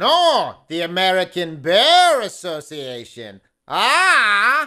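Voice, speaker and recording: In a cartoonish character voice, a man speaks very slowly at a high pitch. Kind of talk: comic puppet voice. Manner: eager, punning.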